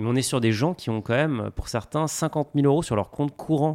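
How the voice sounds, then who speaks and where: A man's voice with ordinary pitch variation. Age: 30s. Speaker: fintech founder. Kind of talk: casual chat.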